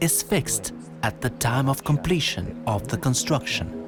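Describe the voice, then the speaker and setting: Over music in the background, a man with a medium pitch talks at a moderate pace, his voice making very wide pitch swings. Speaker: English teacher and voiceover narrator. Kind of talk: corporate promo narration.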